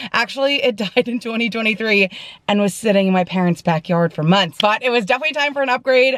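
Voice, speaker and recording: A woman's fairly high voice, very fast, with lively intonation. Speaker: vlogger. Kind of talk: casual vlog talk to camera. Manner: loud, sounds like yelling.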